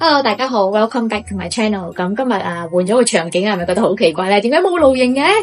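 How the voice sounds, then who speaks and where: A woman with a fairly high pitch and lively intonation, against noticeable background noise. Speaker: YouTube host, storyteller. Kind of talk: casual ghost story told to camera. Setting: poor microphone recording.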